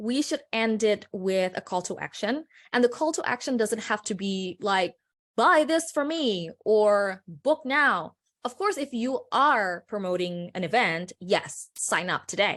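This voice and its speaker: Speaking slowly-ish at a fairly slow pace, a woman with a non-native accent swings her pitch very widely on a very clean recording with a silent background. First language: not English. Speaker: personal branding consultant. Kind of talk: presentation.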